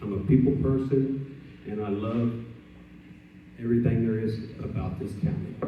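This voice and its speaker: Amid noticeable background noise and audible room echo, a man with an American accent speaks at a fairly slow pace, medium in pitch with ordinary pitch variation. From Texas Gulf Coast, Port Lavaca. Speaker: political candidate. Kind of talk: candidate speech.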